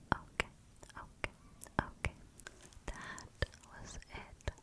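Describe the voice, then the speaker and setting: The sound is dry, with no echo. Loud noise fills the background. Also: woman. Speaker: ASMR creator. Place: home room.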